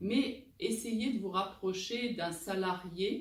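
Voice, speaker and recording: A woman's fairly high voice carries audible room echo. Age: 50s. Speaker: recruiter and job-search coach. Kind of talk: advice talk answering viewer questions.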